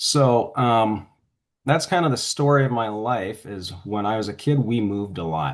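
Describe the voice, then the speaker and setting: A man with an ordinary speaking voice talks at a moderate pace and medium pitch, his intonation lively. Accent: Canadian. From western Canada (Alberta). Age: 60s. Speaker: author. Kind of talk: interview.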